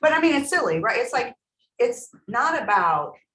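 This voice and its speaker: A woman speaks loudly at a moderate pace, her pitch swinging very widely. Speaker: real estate trainer. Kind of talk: training workshop.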